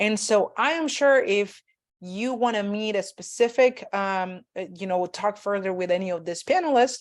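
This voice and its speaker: A woman speaks in a Spanish accent at a moderate pace. Her medium-pitched voice shows ordinary pitch variation. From Mexico. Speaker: graduate student panel moderator. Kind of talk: online panel discussion. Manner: halting, many fillers.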